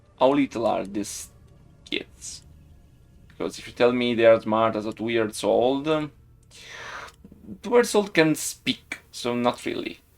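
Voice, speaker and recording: With music in the background, a man with an Italian accent and medium pitch speaks at a fairly slow pace, with long, frequent pauses and big swings in loudness. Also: ordinary pitch variation. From Italy, Siena (Tuscany). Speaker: game developer streamer. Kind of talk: live stream chat. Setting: live stream.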